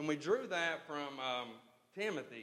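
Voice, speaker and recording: The speaker is a man. Room echo is audible. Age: 30s. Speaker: church member announcing a ministry program. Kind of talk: church announcement. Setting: church.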